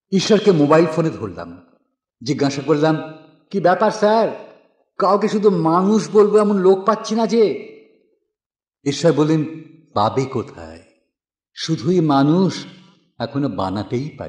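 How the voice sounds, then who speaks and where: With very wide swings in pitch, a man speaks in a fairly high voice. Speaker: poetry reciter. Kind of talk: poetry reading.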